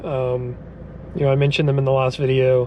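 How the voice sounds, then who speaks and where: A man speaks while noticeable noise fills the background. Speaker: car vlogger. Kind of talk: casual vlog while driving. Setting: in a car. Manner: halting, many fillers.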